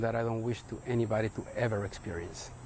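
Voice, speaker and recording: A man with a Spanish accent speaks at a medium pitch and moderate pace, somewhat breathy and monotone, with flat intonation. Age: 40s. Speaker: parent of shooting survivors. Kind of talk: news interview testimony.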